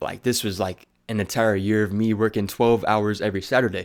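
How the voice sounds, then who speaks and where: A man with an ordinary speaking voice and fairly low pitch speaks at a moderate pace with fairly even intonation, on a very clean recording with a silent background. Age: 20s. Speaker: aspiring motivational speaker. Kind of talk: casual talk to camera.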